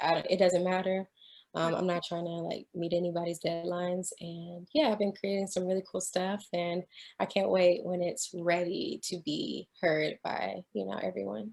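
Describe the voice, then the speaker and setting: In an American accent, a woman speaks at a moderate pace with a fairly low pitch and ordinary pitch variation. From Texas, Houston. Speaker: singer-songwriter. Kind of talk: interview. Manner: soft-spoken, calming.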